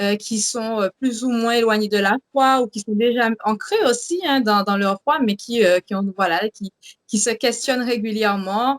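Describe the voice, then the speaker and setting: Fairly slow speech from a woman at a fairly high pitch, with ordinary pitch variation and a dry, close sound with no echo. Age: 20s. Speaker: religious show co-host. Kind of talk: faith testimony and show introduction. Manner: hesitant, many fillers.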